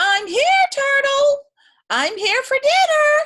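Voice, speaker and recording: In a put-on character voice, a woman squeaks at an extremely high pitch and a very slow pace. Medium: read story.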